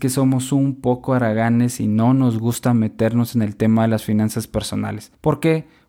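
Recorded very cleanly against a silent background, a man speaks at a moderate pace in a dark, mellow tone. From Guatemala. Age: 20s. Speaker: podcast host. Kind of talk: solo podcast monologue.

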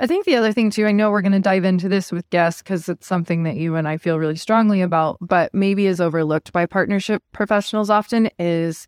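A woman speaks in a normal speaking voice of medium pitch at a fairly quick pace, with ordinary pitch variation, in a very clean recording with a silent background and a dry, close sound with no echo. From Montana, US. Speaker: podcast co-host, partnerships professional. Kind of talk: casual chat.

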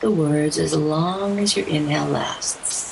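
Over noticeable background noise, a woman with a very deep, low pitch speaks at a very slow pace in a gentle, calm tone. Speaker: podcast host and spiritual business coach. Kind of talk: guided meditation. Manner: slow, calm, soothing, with long pauses; gentle, instructional, soft-spoken.

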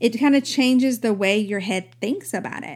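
Speaking at a moderate pace, a woman has a fairly high pitch and an unremarkable speaking voice. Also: very clean recording, silent background. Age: 40s. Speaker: podcast host and mom coach. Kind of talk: casual monologue; sales pitch.

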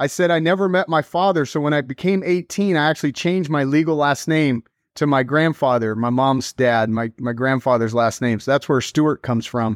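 A man with an American accent uses a normal speaking voice, fairly high in pitch with ordinary pitch variation and very even loudness. He talks at a fairly quick pace with hardly any pauses, in a dry, close sound with no echo against a quiet background. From Texas, Dallas. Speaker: real estate coaching director. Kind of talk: podcast interview.

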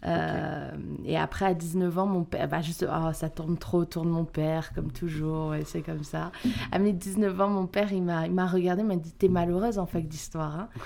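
The tone is dark and mellow, with fairly even intonation. The speech moves at a moderate pace. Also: woman, fairly low pitch for a woman. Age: young. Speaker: actress and stage director. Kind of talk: interview.

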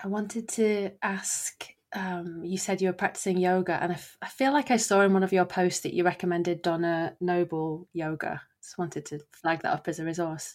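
With a British accent, a woman speaks in a fairly low pitch at a moderate pace, with hardly any pauses. Her intonation is fairly even, though her loudness swings widely. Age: 30s. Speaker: podcast host. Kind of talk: interview conversation. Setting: remote call.

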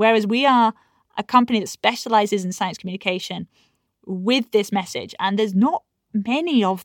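A woman speaks in a normal speaking voice with lively intonation. The sound is dry and close with no echo, on a very clean recording with a silent background. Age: 30s. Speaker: science presenter and pyrotechnician. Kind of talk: interview.

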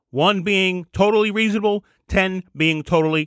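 This man's voice sits high in pitch, with an animated tone and lively intonation. The sound is dry and close with no echo, and the background is quiet. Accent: American. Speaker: podcast host. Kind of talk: solo opinion monologue with comedic commentary. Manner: fast talker, animated.

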